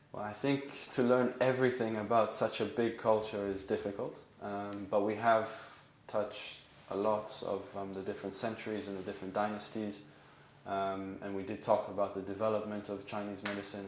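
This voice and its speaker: A man with an Israeli accent talks at a fairly quick pace and a fairly low pitch, his intonation monotone and flat, with audible room echo. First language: Hebrew. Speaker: acupuncture student. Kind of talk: interview. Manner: hesitant with frequent um.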